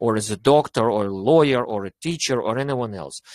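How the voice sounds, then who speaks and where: Speaking at a fairly quick pace, a man with a Russian accent uses lively intonation. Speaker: English teacher. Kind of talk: online club discussion. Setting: online meeting. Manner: animated.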